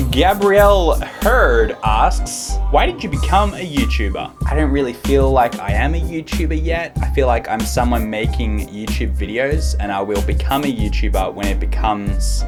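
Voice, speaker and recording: Background music accompanies speech delivered at a fairly slow pace. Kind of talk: casual talk to camera.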